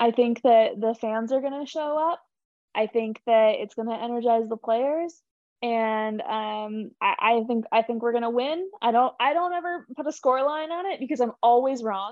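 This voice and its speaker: A woman with an American accent speaks in a high voice at a moderate pace. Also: ordinary pitch variation. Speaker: team communications staffer. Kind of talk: casual chat.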